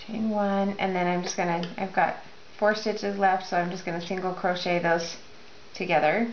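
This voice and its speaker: A woman speaks at a moderate pace with medium pitch and a monotone, flat intonation. Noticeable background noise and audible room echo fill the recording. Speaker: crochet instructor. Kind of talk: tutorial.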